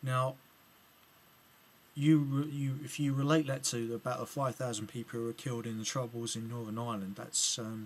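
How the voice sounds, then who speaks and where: A man with an English accent talks at a moderate pace. His pitch is medium and his intonation fairly even. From England. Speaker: political video blogger. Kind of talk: video reply commentary. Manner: halting, many fillers and restarts.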